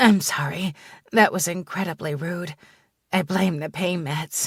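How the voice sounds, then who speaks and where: This woman uses a put-on character voice, raspy and fairly low-pitched, with fairly even intonation at a moderate pace on a very clean recording with a silent background. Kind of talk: first-person romance audiobook narration. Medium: read story.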